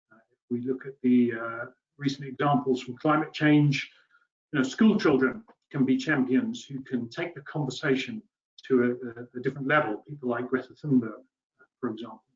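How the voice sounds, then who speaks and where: Speaking with a British accent, a man keeps a medium pitch and a moderate pace, with ordinary pitch variation and big swings in loudness. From UK. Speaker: water policy expert, webinar panellist. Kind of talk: webinar presentation.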